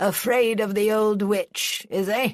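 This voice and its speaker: A female-sounding voice puts on a gruff character voice, fairly high in pitch for a woman. The pace is fairly slow. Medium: read story. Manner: gruff, commanding.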